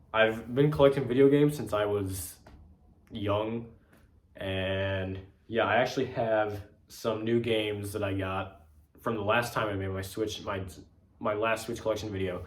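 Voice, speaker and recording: Pausing long and often, a man talks at a moderate pace with fairly even intonation and a somewhat breathy voice, and audible room echo. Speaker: video game collector youtuber. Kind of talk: casual vlog. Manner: casual with fillers.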